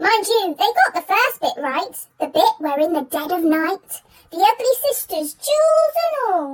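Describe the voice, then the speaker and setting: In a squeaky, put-on character voice, the speaker talks at a moderate pace with a playful tone. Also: woman, extremely high pitch for a woman. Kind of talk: children's story reading. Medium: read story. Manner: lively, playful.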